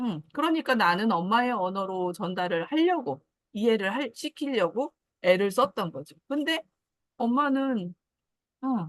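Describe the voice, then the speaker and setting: Recorded dry and close with no echo, a woman speaks fairly slowly in a fairly high voice whose pitch swings very widely. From Jeju Island, South Korea. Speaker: guest sharing personal story. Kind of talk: casual talk.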